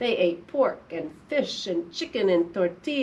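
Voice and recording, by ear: The speaker is reading aloud in a natural voice. The text comes across in an unforced read.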